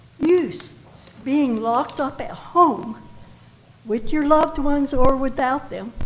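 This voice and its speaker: In a room with audible echo, a woman with a high voice speaks very slowly, her pitch varying in an ordinary way. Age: 80s+. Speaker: health educator, public commenter. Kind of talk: public comment speech. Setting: council chamber public meeting.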